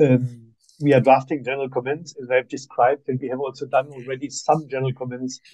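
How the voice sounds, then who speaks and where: Talking at a fairly quick pace, a man with a German accent has a dark, mellow tone at medium pitch. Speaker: human rights expert. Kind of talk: seminar presentation. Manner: halting.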